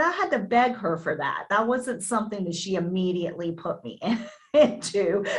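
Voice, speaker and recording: Drawling with a slight Southern US accent, a woman speaks at a medium pitch with lively intonation. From US South, Virginia Beach area, Virginia. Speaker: actress. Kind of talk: interview. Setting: video call.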